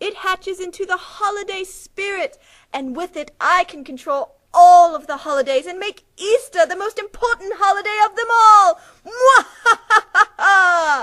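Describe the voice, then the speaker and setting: A woman uses a cartoonish character voice at an extremely high pitch. She talks at a moderate pace with long, frequent pauses. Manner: falsely sweet, then angry.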